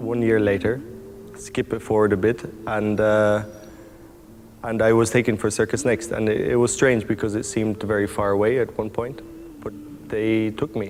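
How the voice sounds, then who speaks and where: A man speaks at a moderate pace in a monotone, flat intonation, with long, frequent pauses. Noticeable background noise runs underneath. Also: fairly low pitch for a man. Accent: Irish. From Ireland. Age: 20s. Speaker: circus performer. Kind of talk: interview monologue. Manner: halting.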